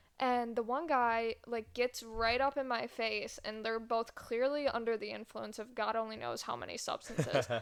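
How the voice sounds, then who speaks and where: A woman speaks at a moderate pace in a fairly high voice, with fairly even intonation and hardly any pauses. The recording is very clean, with a silent background. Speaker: podcast co-host. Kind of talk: casual chat.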